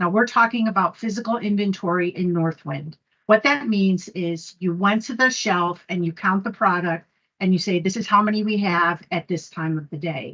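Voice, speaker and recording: A woman speaks at a moderate pace in an ordinary speaking voice. Her pitch sits in the middle range, with ordinary variation. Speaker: conference presenter. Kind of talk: technical presentation.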